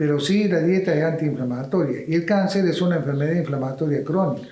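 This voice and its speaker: In a room with audible echo, a man talks at a fairly quick pace and a high pitch, with ordinary pitch variation. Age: 80s+. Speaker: doctor. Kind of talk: interview.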